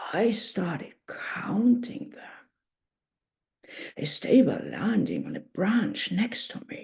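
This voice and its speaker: A woman in a put-on character voice, fairly high in pitch, at a fairly slow pace with long, frequent pauses. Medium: read story. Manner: slow, gentle, measured.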